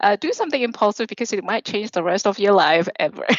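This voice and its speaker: Noticeable noise sits behind this woman's voice. Her intonation is lively. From Australia. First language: not English. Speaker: software program manager. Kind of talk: casual chat. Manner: animated; halting.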